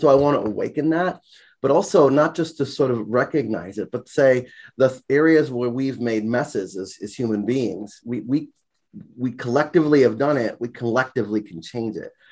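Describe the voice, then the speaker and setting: With an American accent, a man talks at a moderate pace with ordinary pitch variation in an unremarkable speaking voice. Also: medium pitch for a man. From US Virgin Islands, St. Croix. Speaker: college sociology instructor. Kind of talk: casual interview.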